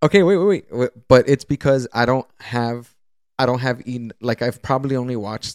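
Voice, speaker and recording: A man with a plain, everyday voice talks at a moderate pace. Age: 20s. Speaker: podcast co-host. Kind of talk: casual chat.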